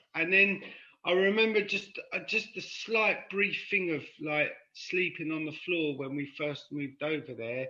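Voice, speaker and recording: With a high pitch and ordinary pitch variation, a man talks at a fairly slow pace. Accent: London. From London (Paddington), born in Cork, Ireland. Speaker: podcast guest in recovery from addiction. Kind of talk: casual chat.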